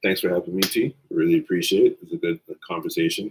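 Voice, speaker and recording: A man is recorded with a dry, close sound and no echo. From Canada. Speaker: guest, friend of host. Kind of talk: casual live-stream chat.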